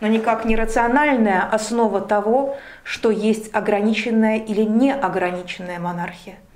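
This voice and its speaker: A woman with a fairly high pitch speaks at a fairly slow pace with fairly even intonation. It's an ordinary speaking voice. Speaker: interviewer. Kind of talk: interview. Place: cafe.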